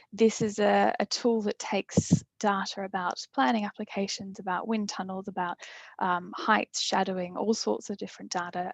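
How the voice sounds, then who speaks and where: The voice carries an Australian accent and monotone, flat intonation. The sound is dry and close with no echo, against a quiet background. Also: woman. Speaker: urban planning specialist. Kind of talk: webinar presentation. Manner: halting, many fillers and repeats.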